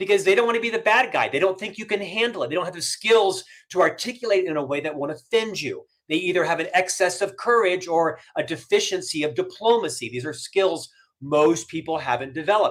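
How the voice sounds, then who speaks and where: A loud, energetic man with a high pitch, lively intonation and a very fast pace. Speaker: business author and career coach. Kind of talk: podcast interview.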